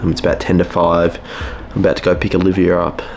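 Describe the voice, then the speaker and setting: Noticeable background noise surrounds a man whose voice has a very deep, low pitch. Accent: Australian. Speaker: vlogger, natural bodybuilder. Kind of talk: casual vlog.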